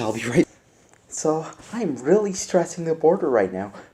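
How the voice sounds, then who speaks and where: A man is talking at a moderate pace. Noticeable background noise is present. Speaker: gaming YouTuber. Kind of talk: casual video talk. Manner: halting.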